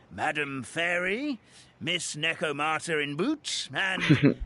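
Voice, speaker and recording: Put-on character voice from a man, fairly high-pitched, delivered at a fairly slow pace. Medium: video game. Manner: courteous, gentle.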